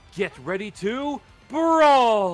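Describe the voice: A man uses a put-on character voice with big pitch swings. Faint music plays in the background.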